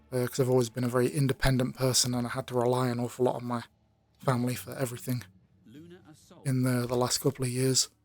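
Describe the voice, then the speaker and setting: Music plays in the background as a man talks at a fairly quick pace. His pitch is medium. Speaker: YouTuber. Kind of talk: personal monologue. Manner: monotone; halting, many fillers.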